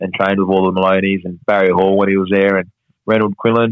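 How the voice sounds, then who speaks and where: A man with an Australian accent, fairly low in pitch, monotone and flat, at a very fast pace. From Perth, Western Australia. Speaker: professional boxer. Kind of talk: casual interview chat.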